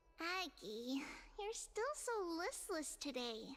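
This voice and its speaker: An extremely high put-on character voice with a gentle tone, very wide pitch swings, and a fairly slow pace. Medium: video game. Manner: soft, gentle.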